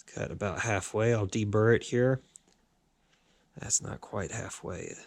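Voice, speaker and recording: A man with a fairly low pitch speaks at a fairly slow pace with fairly even intonation, big swings in loudness, and long, frequent pauses. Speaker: hobbyist machinist restoring a motorcycle. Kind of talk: workshop tutorial. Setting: workshop with lathe and grinder.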